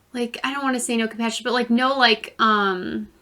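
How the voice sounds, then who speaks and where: A woman speaks loudly with a fairly high pitch and a bright, sharp tone. Her intonation is fairly even and her pace moderate. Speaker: podcast co-host. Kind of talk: casual chat.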